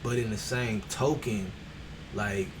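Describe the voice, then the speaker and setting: Soft-spoken and with fairly even intonation, a man talks amid noticeable background noise and audible room echo. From Texas. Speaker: streamer. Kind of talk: motivational livestream talk. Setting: livestream on camera.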